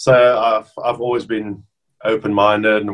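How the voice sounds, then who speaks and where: Against a quiet background, a man speaks with a South African accent. His pitch is fairly low and his intonation monotone and flat. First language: Afrikaans. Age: 30s. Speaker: professional rugby player. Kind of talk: casual interview. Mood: relaxed, friendly. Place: home room. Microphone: webcam.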